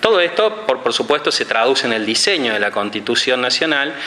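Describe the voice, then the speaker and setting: A man's speech carries audible room echo amid noticeable background noise. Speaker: academic lecturer. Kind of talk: conference lecture. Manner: fast; hesitant with fillers and repetitions.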